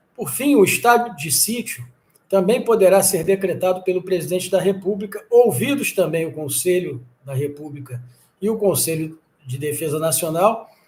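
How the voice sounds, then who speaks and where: A man speaks at a moderate pace in a high voice. His intonation is lively, and the room echo is audible. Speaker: exam-prep law teacher. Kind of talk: lecture. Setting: live stream.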